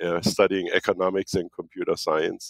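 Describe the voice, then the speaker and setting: A man with a German accent at a fairly quick pace. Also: dry, close sound with no echo. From Germany, near French border. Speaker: marketing consultancy founder. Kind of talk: interview. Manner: halting, with repetitions.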